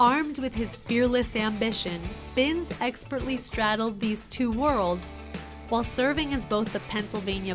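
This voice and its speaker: Music plays in the background as a woman talks at a moderate pace. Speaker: documentary narrator. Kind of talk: documentary narration.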